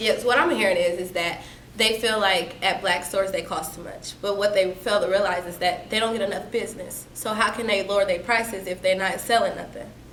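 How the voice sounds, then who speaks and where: A woman with an American accent speaks at a medium pitch and a fairly quick pace, with hardly any pauses, over noticeable background noise. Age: young. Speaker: activist, educator. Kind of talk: interview answer.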